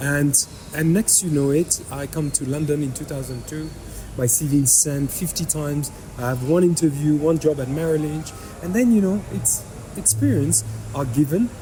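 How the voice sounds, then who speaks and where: Over noticeable background noise, a man talks with fairly high pitch and ordinary pitch variation. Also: moderate pace. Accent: slight French. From France. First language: French. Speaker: fintech entrepreneur. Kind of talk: podcast interview.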